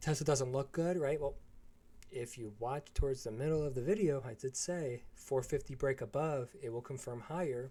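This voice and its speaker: Somewhat breathy, the man's voice stands out. His tone is dark and mellow. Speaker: trading educator. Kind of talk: live stream chat. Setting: live stream. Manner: monotone.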